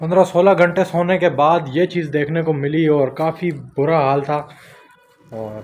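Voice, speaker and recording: A man at a fairly slow pace, fairly even intonation, and light background noise. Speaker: vlogger. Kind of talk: casual vlog chat. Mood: frustrated cricket rant. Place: empty room. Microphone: phone near.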